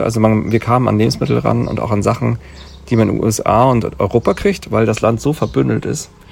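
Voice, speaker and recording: Noticeable background noise sits behind a man who speaks at a fairly quick pace with a fairly low pitch and lively intonation. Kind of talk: casual chat. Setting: outdoors at a remote lodge.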